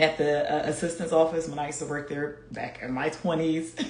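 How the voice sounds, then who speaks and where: A woman speaks at a moderate pace with an animated tone. Noticeable background noise and audible room echo come through. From US, Philadelphia. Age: 40s. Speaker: fitness coach. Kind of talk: live stream chat.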